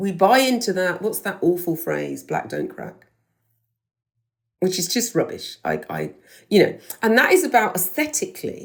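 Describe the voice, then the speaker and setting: Moderate pace in a British accent, with vocal fry. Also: woman. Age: 60s. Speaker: podcast host, former teacher. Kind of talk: interview answer.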